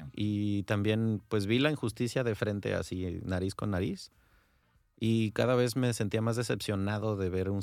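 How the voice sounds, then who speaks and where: On a very clean recording with a silent background, a man with a Mexican accent speaks at a fairly low pitch. His pace is moderate and his intonation fairly even. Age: 30s. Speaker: former lawyer turned course instructor. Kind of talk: radio interview. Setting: radio studio.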